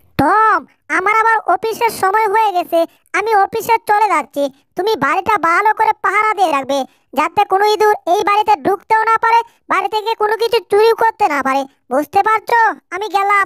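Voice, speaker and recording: In a put-on character voice, a female-sounding speaker talks at an extremely high pitch. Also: moderate pace. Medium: fan dub. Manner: brisk, commanding.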